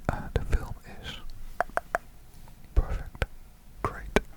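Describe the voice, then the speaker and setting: A man whispers in a Dutch accent. There is noticeable background noise. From Netherlands. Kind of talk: ASMR ramble. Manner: soft-spoken, whispered.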